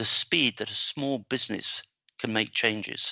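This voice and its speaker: Speaking with a Devon accent, a man keeps a moderate pace and fairly even intonation. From England, Devon. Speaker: business marketing trainer. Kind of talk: interview. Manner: hesitant, many fillers.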